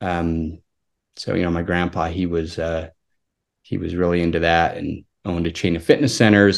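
With an American accent, a man talks at a moderate pace in a very deep, low pitch. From Utah, Salt Lake area. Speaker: pharmacist and amateur cyclist. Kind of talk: casual interview.

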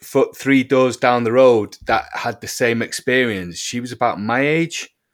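In a British accent, a man talks at medium pitch and a fairly slow pace with ordinary pitch variation. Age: 40s. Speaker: musician and UFO experiencer. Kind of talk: interview testimony. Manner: halting, many repetitions.

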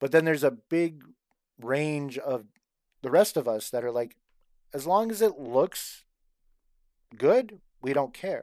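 A fairly high-pitched man at a fairly slow pace, with long, frequent pauses. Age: 40s. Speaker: cosplay fan group co-founder. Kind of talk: casual chat.

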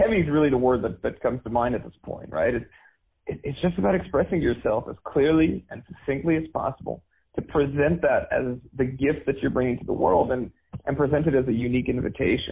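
With a Canadian accent, a man speaks at a fairly quick pace in a plain, everyday voice, his pitch fairly high. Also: ordinary pitch variation. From Canada. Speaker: dating and men's coach. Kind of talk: interview. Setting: video call.

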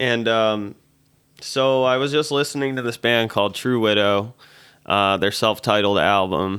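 A man with a normal speaking voice at medium pitch, ordinary pitch variation, very even loudness and a fairly slow pace. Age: 20s. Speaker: musician. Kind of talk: casual chat.

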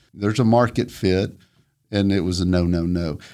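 On a very clean recording with a silent background, a man talks in a Southern US accent. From US South, northwest Georgia. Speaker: entrepreneur. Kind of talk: interview.

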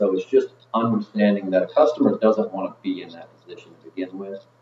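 Over noticeable background noise, a man delivers his words at a fairly quick pace. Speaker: comfort advisor and former radio host. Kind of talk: casual interview chat. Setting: studio.

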